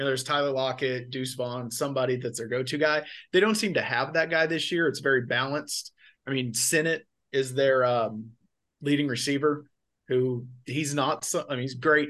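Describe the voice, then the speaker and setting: A man speaks in an unremarkable speaking voice with ordinary pitch variation. The background is quiet. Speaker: sports podcast co-host. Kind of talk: casual sports chat.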